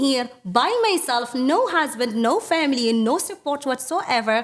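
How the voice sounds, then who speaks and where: At a fairly slow pace and over noticeable background noise, a woman's high voice sounds animated, with very wide pitch swings. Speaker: business owner. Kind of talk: interview.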